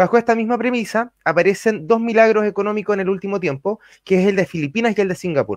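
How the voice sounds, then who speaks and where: A man speaks at a fairly quick pace. The background is quiet, and the sound is dry with no echo. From Chile. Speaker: radio panelist. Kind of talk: panel questioning. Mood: serious, argumentative. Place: home room. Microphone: studio mic.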